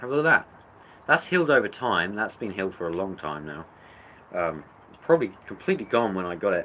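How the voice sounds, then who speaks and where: In a British accent, a man speaks with vocal fry and very wide pitch swings. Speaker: reptile keeper youtuber. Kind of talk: livestream animal show-and-tell. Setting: indoor reptile room. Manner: loud.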